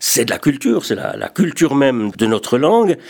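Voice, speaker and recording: A man talks at medium pitch. His pitch swings are very wide. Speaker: retired radio journalist, association secretary general. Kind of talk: radio talk show discussion.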